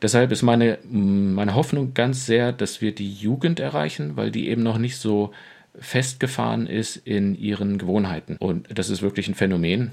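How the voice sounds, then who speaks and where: A man with a plain, everyday voice speaks at a fairly low pitch and moderate pace with ordinary pitch variation. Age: 40s. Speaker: pastor. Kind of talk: casual chat.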